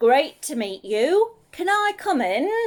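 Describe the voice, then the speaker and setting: A woman's put-on character voice, high-pitched, raised and projected, with very wide pitch swings at a fairly slow pace. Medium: read story. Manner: eager, friendly.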